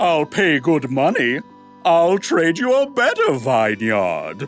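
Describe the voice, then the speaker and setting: A man puts on a character voice at a high pitch, with very wide pitch swings and a fairly slow pace. Clear music plays in the background. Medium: audio drama. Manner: pompous, theatrical.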